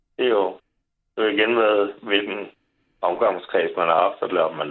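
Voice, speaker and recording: This man speaks at a moderate pace. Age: 40s. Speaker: caller. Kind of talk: casual chat.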